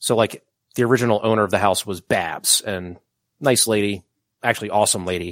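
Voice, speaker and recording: A plain, everyday voice with an American accent, at a fairly quick pace and with fairly even intonation, in a very clean recording with a silent background and a dry, close sound with no echo. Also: man, fairly low pitch for a man. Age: 30s. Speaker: podcast co-host. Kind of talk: casual chat.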